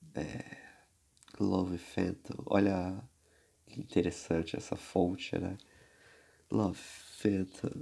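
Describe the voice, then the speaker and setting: A man speaks at a very slow pace in a very deep, low pitch with a dark, mellow tone and ordinary pitch variation. Long, frequent pauses break his speech against a quiet background. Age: 20s. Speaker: music collector. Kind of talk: casual chat. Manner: animated. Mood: amused, relaxed. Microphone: phone near.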